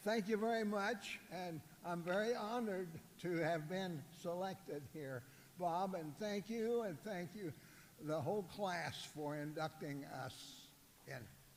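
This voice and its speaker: A man's high voice in an American accent at a fairly slow pace. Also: ordinary pitch variation. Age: 90s. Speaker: Hall of Fame honoree. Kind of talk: acceptance speech. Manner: halting.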